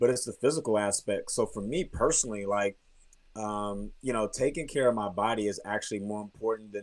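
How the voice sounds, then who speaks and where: The speaker has an ordinary speaking voice with an American accent. The pace is fairly quick. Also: man, fairly low pitch for a man, ordinary pitch variation. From Texas, grew up partly in Germany. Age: 30s. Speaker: professional basketball player. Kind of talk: interview.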